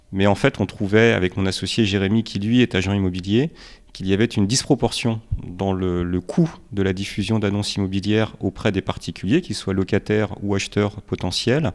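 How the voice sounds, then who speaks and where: Against a very clean, silent background, a man speaks fairly quickly in a plain, everyday voice. His pitch is fairly low, with ordinary pitch variation. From Romania, then France from age five. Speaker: startup founder. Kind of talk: podcast interview.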